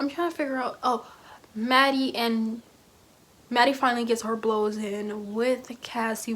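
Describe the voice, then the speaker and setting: A woman speaks at a fairly high pitch with fairly even intonation. Her pace is moderate. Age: 20s. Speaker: youtuber. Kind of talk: casual commentary vlog. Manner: loud.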